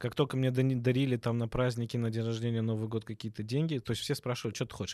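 A man with a dark, mellow tone talks at a very fast pace, medium in pitch with fairly even intonation, in a very clean recording with a silent background. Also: hardly any pauses. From Obninsk, Russia, in a Georgian diaspora. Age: 30s. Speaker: dental surgeon. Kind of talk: casual chat.

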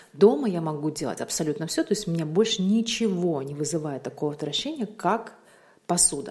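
A woman has an ordinary speaking voice with a fairly low pitch. She talks at a fairly quick pace with lively intonation. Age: 30s. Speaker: vlogger. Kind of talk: casual monologue.

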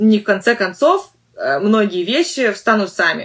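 A woman with a normal speaking voice and lively intonation. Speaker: English teacher and podcast host. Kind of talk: solo podcast monologue. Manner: conversational with frequent fillers.

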